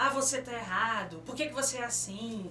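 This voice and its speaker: This woman has a high voice that swings very widely in pitch. The room echo is audible, and there is noticeable background noise. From São Paulo city, Brazil. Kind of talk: radio interview. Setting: radio studio.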